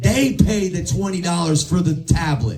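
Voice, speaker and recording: A man speaks in an animated tone. Room echo is audible, along with noticeable background noise. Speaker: sales team leader. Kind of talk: motivational talk to sales team.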